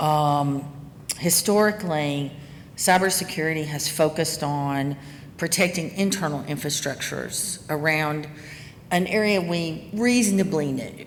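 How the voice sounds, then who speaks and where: In a Southern US accent, a woman speaks at a fairly slow pace with a very deep, low pitch and ordinary pitch variation, with audible room echo around her. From US South. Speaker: cybersecurity executive. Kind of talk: conference talk.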